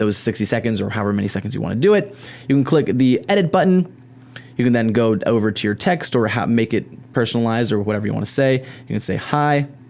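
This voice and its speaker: A man's medium-pitched voice, very fast, with lively intonation and an animated tone. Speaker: YouTuber, tech tutorial creator. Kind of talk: tutorial. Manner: casual, animated.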